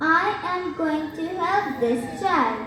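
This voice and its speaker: Using a put-on character voice, a female-sounding speaker talks at a very slow pace with an extremely high pitch, over clear background noise and clear echo. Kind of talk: school stage skit. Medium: stage play. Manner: warm, doting.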